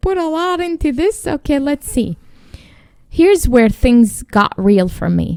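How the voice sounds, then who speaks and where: Her voice high and her pitch swinging very widely, a woman talks at a fairly slow pace in a dry, close sound with no echo. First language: not English. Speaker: podcast co-host. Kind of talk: casual chat.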